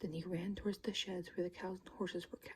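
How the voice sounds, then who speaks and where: A soft-spoken voice at a fairly quick pace. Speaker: ASMR creator. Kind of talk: read story. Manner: occasional stumbling.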